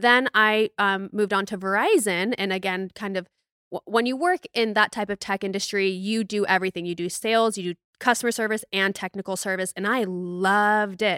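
A woman with an American accent speaks at a moderate pace with hardly any pauses, her bright, sharp tone animated, in a very clean recording with a silent background and a dry, close sound with no echo. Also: medium pitch for a woman. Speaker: fitness influencer and podcast host. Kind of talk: casual chat.

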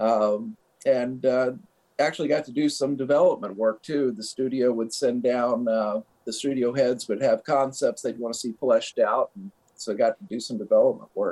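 A man with an American accent talks at a moderate pace, recorded in a dry, close sound with no echo. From US Midwest. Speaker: animator. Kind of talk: interview. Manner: halting, many fillers.

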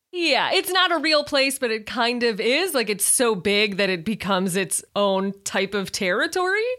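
In a Midwestern American accent, a woman with a fairly high pitch speaks in an animated tone with very wide pitch swings and hardly any pauses. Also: moderate pace. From Chicago, US Midwest. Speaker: Disney podcaster and writer. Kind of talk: casual chat.

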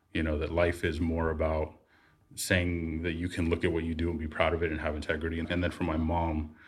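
Speech at a very fast pace comes out somewhat breathy and monotone, with flat intonation, on a very clean recording with a silent background. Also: man. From San Francisco Bay Area. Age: 40s. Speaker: software engineer. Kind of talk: interview.

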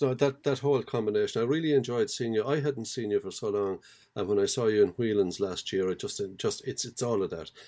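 A man talks at a very fast pace with hardly any pauses, in a medium-pitched voice of dark, mellow tone. The recording is very clean, with a silent background. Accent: Irish. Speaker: podcast host. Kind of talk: interview.

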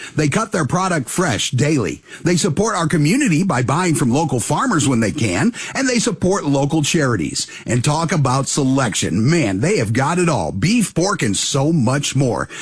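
A man talks at a fairly high pitch with very wide pitch swings and very even loudness. His pace is moderate with hardly any pauses, and there's noticeable background noise. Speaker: radio announcer and ad reader. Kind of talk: sponsor read and show intro. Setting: live at a pizza restaurant.

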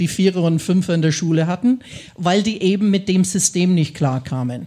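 A woman in an English accent speaks at a medium pitch and moderate pace, somewhat breathy, with lively intonation. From US Midwest, Ohio. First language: English (speaking German). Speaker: English teacher. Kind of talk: live podcast conversation. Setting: stage with audience.

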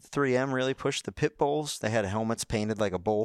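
At a moderate pace, a man speaks with a medium pitch. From North Carolina, Rowan County. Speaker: NASCAR pit crew member and co-host. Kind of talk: casual chat.

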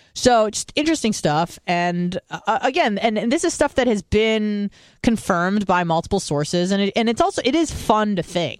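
Loud and with hardly any pauses, a woman speaks in a medium pitch with very wide pitch swings, in a very clean recording with a silent background that is dry and close with no echo. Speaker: podcast co-host. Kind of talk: casual chat. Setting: studio.

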